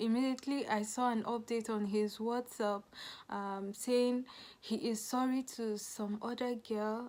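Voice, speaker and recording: On a very clean recording with a silent background, a woman with a fairly high pitch speaks at a moderate pace and fairly even intonation. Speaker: vlogger. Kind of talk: storytelling. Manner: soft-spoken; halting.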